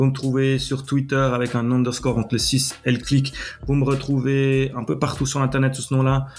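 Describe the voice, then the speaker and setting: Noticeable background noise sits under a man speaking with a Swiss accent. His intonation is monotone and flat. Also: medium pitch for a man, moderate pace. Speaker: podcast host and web developer. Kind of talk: solo tech podcast tutorial. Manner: casual, with frequent hesitations.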